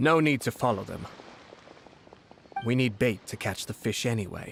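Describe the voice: A man performs a put-on character voice with lively intonation. It has a husky, rough edge and vocal fry. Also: medium pitch for a man, moderate pace.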